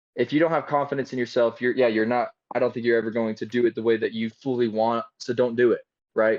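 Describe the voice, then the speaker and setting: Speaking in a Utah accent, a man keeps a fairly quick pace at medium pitch. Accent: typical Utah. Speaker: film director and actor. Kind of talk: casual podcast interview. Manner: animated, many fillers.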